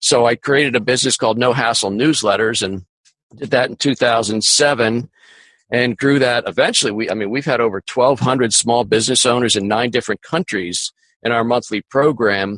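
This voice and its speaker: A man talks at a fairly quick pace with a medium pitch. He has a plain, everyday voice and fairly even intonation. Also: dry, close sound with no echo. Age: 60s. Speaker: business coach. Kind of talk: interview.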